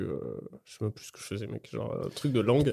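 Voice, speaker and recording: A man with a slight British accent and ordinary pitch variation. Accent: French with a slight British tinge. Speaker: stand-up comedian. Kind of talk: casual chat. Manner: halting.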